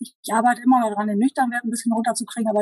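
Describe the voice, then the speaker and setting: In a somewhat breathy, dark, mellow voice, a woman speaks with monotone, flat intonation in a dry, close sound with no echo. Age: 40s. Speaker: diabetes coaching client. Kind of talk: interview.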